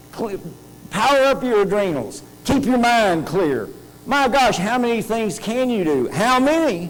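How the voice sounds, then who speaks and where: A man with a high pitch sounds animated, with lively intonation and audible room echo. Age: 60s. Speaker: conference speaker, health technology institute director. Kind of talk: conference talk.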